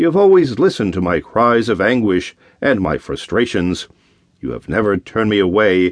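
Very wide pitch swings at a moderate pace. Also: man. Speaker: audiobook narrator. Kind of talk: first-person dramatic audiobook narration of a Bible story, prayerful anguished monologue. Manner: earnest, pleading, halting and emotional.

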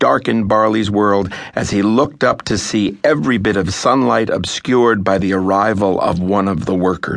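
Fairly even intonation from an unforced reading voice

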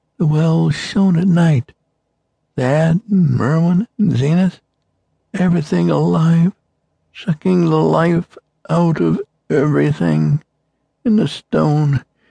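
At a very slow pace, a man speaks with long, frequent pauses, the sound dry and close with no echo. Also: very even loudness. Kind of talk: dramatic character voice reading a dying farmer's dialogue. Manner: rasping, halting, feeble, rural dialect, delirious.

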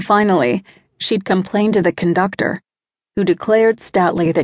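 The background is quiet here. A natural reading voice carries fairly even intonation.

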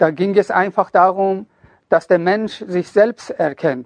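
Very slowly, a man speaks at a high pitch with ordinary pitch variation, the sound dry and close with no echo. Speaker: self-help author and narrator. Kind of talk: motivational pep talk to an audience. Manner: earnest, urging, direct address; emphatic, preachy.

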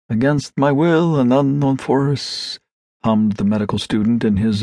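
A dark, mellow voice with a theatrical, dramatic tone speaks at a moderate pace with ordinary pitch variation, the sound dry and close with no echo. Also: man. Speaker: audiobook narrator. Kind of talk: dramatic literary narration, reading a classic story aloud with expressive character.

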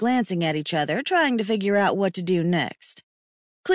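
Someone reads aloud in a natural voice, with the background quiet.

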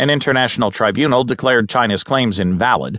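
Using a normal speaking voice, a man speaks at a fairly quick pace with a medium pitch and ordinary pitch variation. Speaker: audiobook narrator. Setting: studio. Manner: steady, even and measured, businesslike newsreader delivery with little emotion; clear, formal and precise.

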